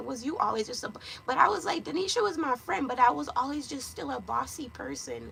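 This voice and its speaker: Noticeable background noise sits behind a woman with a Jamaican accent, who speaks in an animated tone at a fairly quick pace. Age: 30s. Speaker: lifestyle vlogger. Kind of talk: casual chat.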